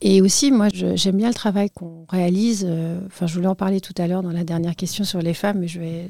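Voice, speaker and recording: A woman of medium pitch talks at a fairly quick pace with hardly any pauses, fairly even intonation and a dark, mellow tone. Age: 40s. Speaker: patient association president. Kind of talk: interview. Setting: studio.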